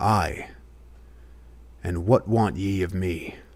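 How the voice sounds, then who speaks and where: A man puts on a character voice, raspy and pitched very deep and low. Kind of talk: archaic speech. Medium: read story. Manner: curt, sullen.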